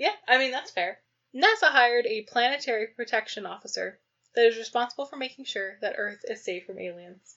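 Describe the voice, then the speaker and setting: Talking at a fairly quick pace, a high-pitched woman makes big swings in loudness. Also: ordinary pitch variation. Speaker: podcast co-host. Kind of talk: casual chat. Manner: laughing often.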